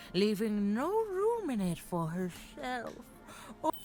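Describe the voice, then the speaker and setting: In a put-on character voice with very wide pitch swings, the speaker talks at a fairly slow pace over clear background music. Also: woman, fairly high pitch for a woman. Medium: video game. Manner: cryptic, coaxing.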